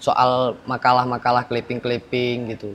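This man talks fairly slowly, his pitch at a medium level. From Aceh, Indonesia. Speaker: former internet cafe attendant. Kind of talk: storytelling interview. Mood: recounting ghost story. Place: garden.

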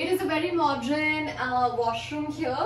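A woman at a fairly slow pace, with audible room echo and faint music in the background. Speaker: vlogger. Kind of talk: casual vlog chat. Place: home room.

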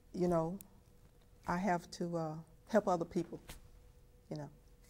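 Speaking with an American accent, a woman keeps her pitch fairly low. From Texas. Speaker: family historian; interviewee. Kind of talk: testimony. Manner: halting. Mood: earnest, reflective. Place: home room.

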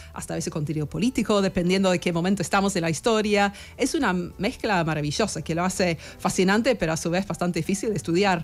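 A woman with an English accent at a very fast pace, her voice medium in pitch with ordinary pitch variation. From England, Sheffield; England. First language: English (speaking Spanish). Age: 40s. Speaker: historian; guest. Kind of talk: radio interview; interview answer. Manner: halting. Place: studio. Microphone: studio mic.

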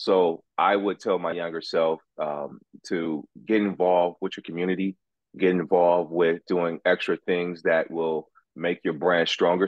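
The speaker has an American accent and a monotone, flat intonation over a quiet background. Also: man, dry sound with no echo. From Los Angeles, US. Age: 40s. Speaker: youth sports coach and former athlete. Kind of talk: interview. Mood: reflective, warm. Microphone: video call.

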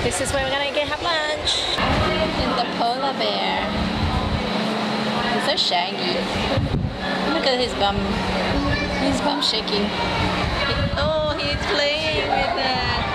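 Music plays in the background as the voice moves at a very slow pace. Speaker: family vlogger. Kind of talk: casual vlog chat. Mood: delighted, cooing at animal. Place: street. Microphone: phone near.

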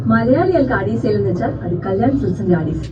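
Noticeable background noise sits behind a voice whose pitch swings very widely. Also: woman. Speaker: dubbing artist. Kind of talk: TV commercial read. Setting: studio.

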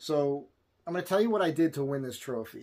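A man at medium pitch speaks with lively intonation, a slightly mellow tone and a slightly husky edge.

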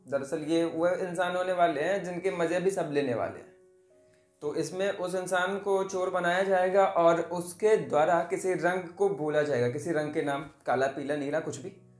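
Faint music plays in the background as a man with a high pitch talks at a fairly slow pace with fairly even intonation, audible room echo around him. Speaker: storyteller. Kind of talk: storytelling. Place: home room. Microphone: phone near.

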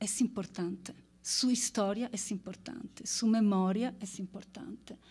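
A woman's very slow voice, dark and mellow in tone, with ordinary pitch variation. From Italy. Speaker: anthropologist; speaker. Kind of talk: conference presentation. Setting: stage with audience. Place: stage. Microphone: podium.

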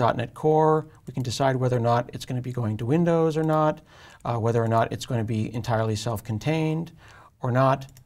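On a very clean recording with a silent background, a man speaks at a fairly quick pace in a medium pitch, with a slightly mellow tone and ordinary pitch variation.

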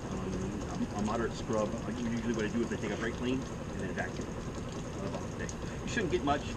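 A man talks at a moderate pace with ordinary pitch variation while loud background noise plays behind him. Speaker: equipment seller explaining maintenance. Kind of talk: tutorial. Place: street. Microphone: camera far.

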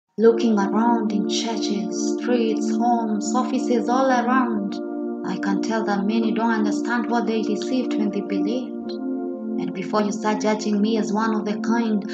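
With music behind her, a woman talks at a moderate pace. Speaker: spoken word poet. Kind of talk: spoken word poetry.

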